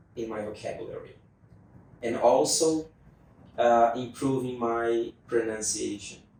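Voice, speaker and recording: A man talks at a fairly slow pace and medium pitch, with ordinary pitch variation and long, frequent pauses. Noticeable background noise is present. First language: not English. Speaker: English learner student. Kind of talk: interview conversation. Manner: halting, with fillers.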